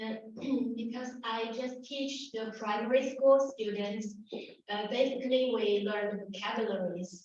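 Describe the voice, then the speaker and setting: With a Chinese accent, a woman speaks at a fairly slow pace in a fairly high voice with fairly even intonation, and audible room echo surrounds her. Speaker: Chinese teacher. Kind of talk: panel discussion. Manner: halting.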